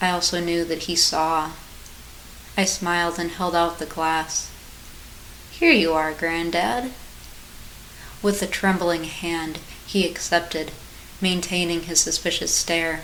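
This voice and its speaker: Over noticeable background noise, the speech moves at a fairly slow pace with long, frequent pauses and fairly even intonation. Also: woman, fairly low pitch for a woman. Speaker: author and narrator. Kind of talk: horror short story reading.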